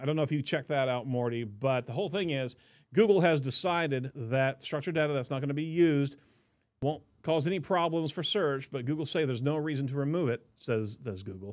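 The pace is fairly quick, with ordinary pitch variation. The background is quiet. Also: man. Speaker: podcast host. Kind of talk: news commentary. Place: studio. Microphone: studio mic.

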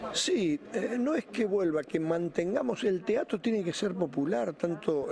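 Light noise sits in the background while the words come at a fairly slow pace. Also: man. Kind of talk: interview answer. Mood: complaining, earnest. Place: stage. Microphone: handheld.

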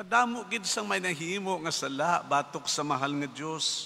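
At a moderate pace, a man speaks with a fairly high pitch, very wide pitch swings and a bright, sharp tone. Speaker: priest giving homily. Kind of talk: sermon. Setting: church. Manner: earnest, preachy, conversational; animated, mimicking skeptics' voices. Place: church. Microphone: podium.

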